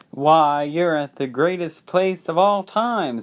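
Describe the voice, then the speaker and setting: Using a put-on character voice, a man speaks fairly slowly at a fairly high pitch in a very clean recording with a silent background. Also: ordinary pitch variation. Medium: read story. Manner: boastful, salesman-like.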